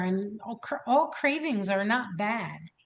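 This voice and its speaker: A woman's medium-pitched voice shows ordinary pitch variation. She talks at a very slow pace. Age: 60s. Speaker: wellness coach. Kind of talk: casual chat.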